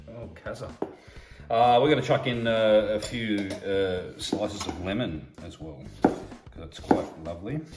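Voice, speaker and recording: A man with an Australian accent speaks at a fairly slow pace in a fairly low pitch, with a playful tone, ordinary pitch variation and big swings in loudness. There is audible room echo and noticeable background noise. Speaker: cooking channel host. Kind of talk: casual cooking tutorial. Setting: outdoors at grill. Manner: hesitant, many fillers; joking, playful.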